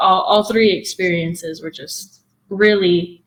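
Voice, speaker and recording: A woman speaks in a South Texas accent at a fairly low pitch. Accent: South Texas American English. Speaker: game developer and producer. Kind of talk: interview conversation. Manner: casual with many fillers.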